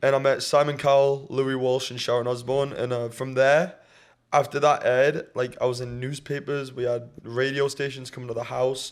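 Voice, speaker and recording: With a northeast English accent, a man at medium pitch speaks in a monotone, flat intonation at a moderate pace, on a very clean recording with a silent background. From northeast England, County Durham. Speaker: singer, talent show finalist. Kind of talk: casual chat.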